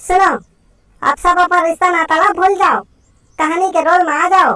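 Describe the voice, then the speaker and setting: A woman uses a cartoonish character voice at an extremely high pitch. Her intonation stays monotone and flat. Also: moderate pace. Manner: rustic, fussy.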